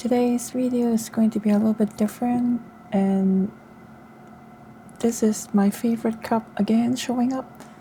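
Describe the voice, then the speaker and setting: At a fairly slow pace, a woman with a fairly high voice speaks in a calm tone and monotone, flat intonation over noticeable background noise. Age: 40s. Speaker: solo travel vlogger. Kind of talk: casual talk to camera. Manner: soft-spoken, calm.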